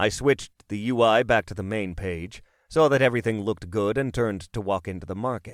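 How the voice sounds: With normal rises and falls in pitch, the voice reads in a natural way.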